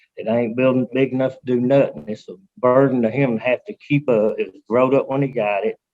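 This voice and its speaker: With an Alabama accent, a man talks at a very fast pace and medium pitch, his loudness swinging widely. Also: ordinary pitch variation. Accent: Southern US (Alabama). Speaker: resident speaking in favor. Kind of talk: public comment at council meeting. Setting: teleconference.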